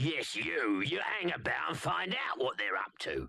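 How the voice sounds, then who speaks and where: A man does a raspy put-on character voice at a medium pitch. He keeps a moderate pace and very even loudness. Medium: cartoon. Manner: bossy, curt.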